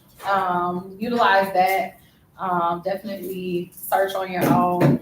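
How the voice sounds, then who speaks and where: A woman with an American accent at a medium pitch, very slow in pace, monotone and flat in intonation, over noticeable background noise. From Ohio, Dayton area. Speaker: alumna speaking to students. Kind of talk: casual chat. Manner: relaxed, many fillers.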